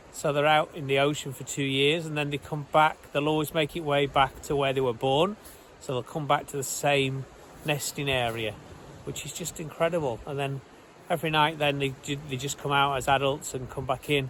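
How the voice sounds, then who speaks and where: A man speaks at a fairly high pitch and a moderate pace with monotone, flat intonation. Noticeable background noise runs under his voice. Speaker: travel vlogger. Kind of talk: casual travel vlog narration.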